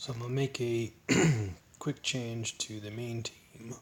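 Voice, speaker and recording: A man speaks at a medium pitch in a monotone, flat manner. His voice is somewhat breathy. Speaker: gaming commentator. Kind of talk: gameplay commentary.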